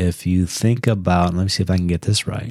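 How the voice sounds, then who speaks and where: Fairly low in pitch, a man's voice has a dark, mellow tone. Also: dry, close sound with no echo. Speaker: podcast host. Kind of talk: casual chat.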